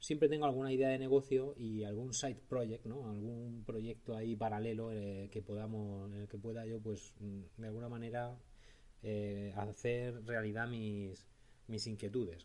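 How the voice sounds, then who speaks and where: With a dark, mellow tone and medium pitch, a man talks at a fairly slow pace. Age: 40s. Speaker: podcast host. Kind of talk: solo podcast monologue.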